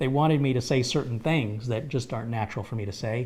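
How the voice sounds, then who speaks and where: A man's somewhat breathy, medium-pitched voice at a very fast pace. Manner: casual, conversational with filler pauses.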